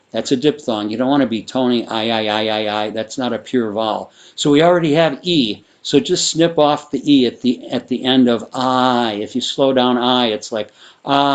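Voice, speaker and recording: A man talks with a Midwestern American accent at medium pitch and a moderate pace. His pitch varies in an ordinary way over a quiet background. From US Midwest. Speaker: sound therapy teacher. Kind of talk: tutorial.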